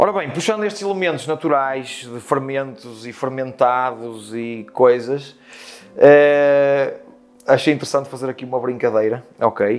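Against noticeable background noise, a man of medium pitch speaks at a fairly slow pace with big swings in loudness. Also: ordinary pitch variation. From Portugal, Porto. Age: 30s. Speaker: chef. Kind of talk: interview.

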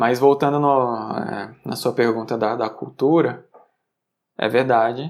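Pausing often and at length, a man speaks at a fairly slow pace. His pitch is medium and his intonation fairly even. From Brazil, Sergipe (Aracaju). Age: 30s. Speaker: software programmer. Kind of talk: casual interview. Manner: halting, repeats words.

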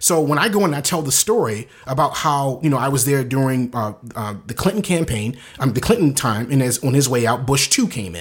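A man with an American accent, medium in pitch, with lively intonation at a fairly quick pace over noticeable background noise. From US East Coast, inner-city Baltimore. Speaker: photographer and videographer, business owner. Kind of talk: casual interview. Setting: Facebook Live video podcast.

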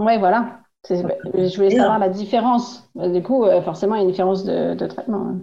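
A woman in a normal speaking voice, medium-pitched with ordinary pitch variation, at a fairly quick pace. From northern France, Oise (Compiègne). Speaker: French expat. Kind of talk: casual chat.

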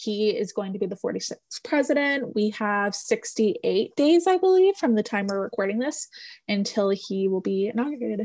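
The voice is somewhat breathy, moving at a moderate pace with lively intonation. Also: woman. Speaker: podcast co-host. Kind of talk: casual chat.

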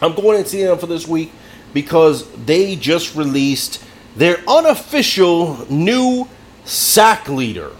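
Over noticeable background noise, a man speaks at a high pitch. His intonation is lively, yet his pace is very slow. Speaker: sports podcast host. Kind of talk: casual sports banter.

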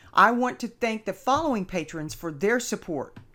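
On a very clean recording with a silent background, a woman with a Texan accent speaks with very wide pitch swings. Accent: Texan American. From Texas. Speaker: podcast host. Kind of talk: solo informational podcast.

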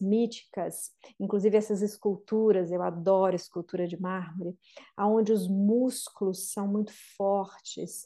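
At a fairly slow pace, a woman with a dark, mellow tone speaks at a medium pitch in a flat monotone. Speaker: podcast host and therapist. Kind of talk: guided meditation.

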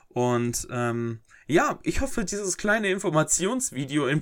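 A man's intonation is lively on a very clean recording where the background is silent. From Germany, North Rhine-Westphalia (Herford, East Westphalia). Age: 20s. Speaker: podcaster and YouTuber. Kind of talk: casual Q&A monologue. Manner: hesitant, many filler sounds.

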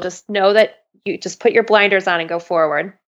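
A woman with a plain, everyday voice, medium pitch, fairly even intonation and a moderate pace, against a quiet background. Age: 30s. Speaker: medical student and former ICU nurse. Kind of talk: interview conversation.

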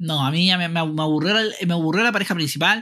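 Here a man speaks with a Chilean accent. His voice is fairly high-pitched, with a bright, sharp tone. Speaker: podcast host. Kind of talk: casual chat.

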